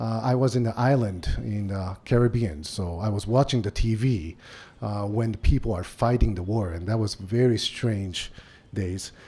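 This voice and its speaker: A man with a Japanese accent talks fairly slowly in a fairly low pitch with ordinary pitch variation. His tone is dark and mellow, and somewhat breathy. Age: 50s. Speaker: business executive. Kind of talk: lecture. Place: hall. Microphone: podium.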